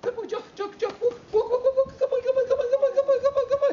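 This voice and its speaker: A squeaky, put-on character voice at an extremely high pitch rushes along at a very fast pace in an excited tone. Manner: fast, repetitive, excited.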